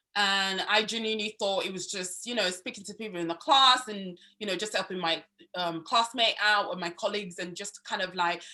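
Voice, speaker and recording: A woman with a Yoruba accent speaks at a fairly quick pace in a bright, sharp tone. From Nigeria. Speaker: student union vice president. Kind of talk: interview. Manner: enthusiastic.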